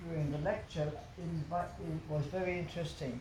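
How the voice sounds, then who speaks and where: A woman speaks in a very deep, low voice, with audible room echo around her. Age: 80s+. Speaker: yoga teacher. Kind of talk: casual interview. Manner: halting.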